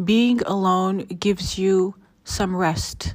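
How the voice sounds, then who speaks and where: This voice belongs to a woman. Its pitch falls in the medium range. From Africa. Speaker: faith and self-development podcaster. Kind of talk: solo motivational talk. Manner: casual, with many filler words.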